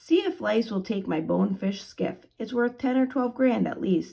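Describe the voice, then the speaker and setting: A raspy, put-on character voice from a woman, fairly high in pitch, at a moderate pace with lively intonation. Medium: read story. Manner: earnest, breezy.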